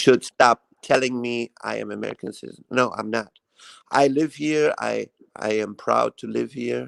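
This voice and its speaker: A man with a non-native accent at a moderate pace, big swings in loudness, dry, close sound with no echo. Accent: foreign. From Iran. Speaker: live stream guest, YouTuber. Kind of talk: casual chat. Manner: halting.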